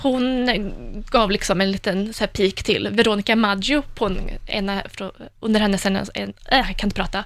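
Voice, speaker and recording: A woman with an unremarkable speaking voice, ordinary pitch variation and a fairly slow pace, on a very clean recording with a silent background. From Värmland, Sweden. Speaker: music journalist and critic. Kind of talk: casual chat.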